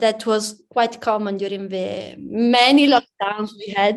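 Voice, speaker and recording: A woman with an Italian accent at a fairly slow pace. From Italy, near Udine. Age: young. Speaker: pianist. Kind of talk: interview. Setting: music academy.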